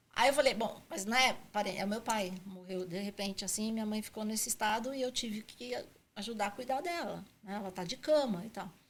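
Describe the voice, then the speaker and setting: At a fairly quick pace, a woman speaks with fairly high pitch and ordinary variation in it. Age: 60s. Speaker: franchising consultant. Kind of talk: podcast interview. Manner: halting.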